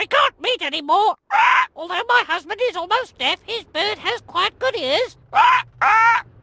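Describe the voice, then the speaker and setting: The put-on character voice is pitched extremely high and runs on with hardly any pauses. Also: moderate pace. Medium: video game.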